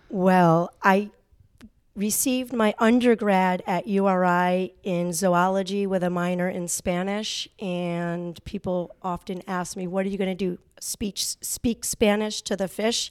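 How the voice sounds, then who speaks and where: In a plain, everyday voice, a woman with an American accent speaks at a fairly slow pace and medium pitch with fairly even intonation, the sound dry and close with no echo on a very clean recording with a silent background. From Connecticut. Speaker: middle school teacher. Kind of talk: interview.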